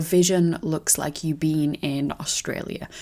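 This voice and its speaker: A woman with a plain, everyday voice speaks at a fairly slow pace and fairly low pitch, with ordinary pitch variation. The recording is very clean with a silent background. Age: 20s. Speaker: podcast host and business coach for teachers. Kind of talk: solo podcast monologue.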